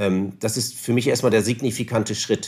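Here a man speaks with a northern German accent at a medium pitch and a moderate pace, showing ordinary pitch variation. The recording is very clean, with a silent background. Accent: non-Bavarian, northern German. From northern Germany, Osnabrück area. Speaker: newspaper publishing executive. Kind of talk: interview. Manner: formal.

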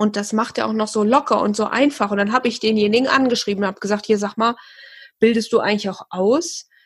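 Very fast, somewhat breathy speech from a woman with a fairly high pitch and fairly even intonation. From Hesse, near Fulda. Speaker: hypnotherapist, former psychiatric nurse. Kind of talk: casual chat.

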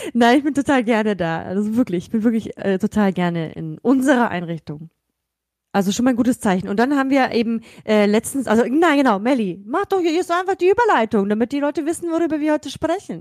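The speech runs at a very fast pace with very wide pitch swings. The recording is very clean with a silent background, dry and close with no echo. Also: woman, fairly high pitch for a woman. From Germany. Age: 30s. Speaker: podcast co-host, kindergarten educator. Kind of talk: casual chat.

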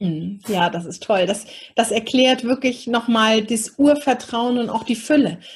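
An unremarkable speaking voice from a woman, fairly high in pitch, with ordinary pitch variation and a fairly slow pace. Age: 40s. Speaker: podcast host and women's coach. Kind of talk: casual interview.

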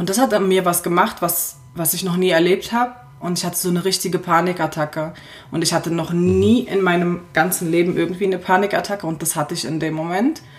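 Fairly quick, fairly low-pitched speech from a woman with fairly even intonation, over music in the background. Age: 20s. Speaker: fashion and lifestyle blogger. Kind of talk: casual chat.

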